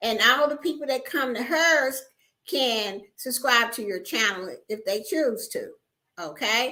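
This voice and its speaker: At a very slow pace, a woman uses a raised, projected voice with a high pitch and lively intonation. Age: 60s. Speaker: YouTuber and home business promoter. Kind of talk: livestream chat with viewers. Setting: livestream.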